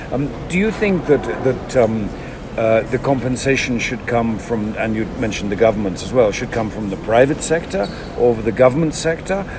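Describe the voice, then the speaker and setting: A man's medium-pitched voice with lively intonation at a moderate pace, amid noticeable background noise and audible room echo. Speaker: podcast host. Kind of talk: interview. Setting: airport. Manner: halting.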